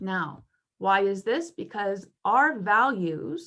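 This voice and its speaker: A woman speaks at medium pitch in a bright, sharp tone. Her pitch swings very widely. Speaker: workshop presenter. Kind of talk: online workshop.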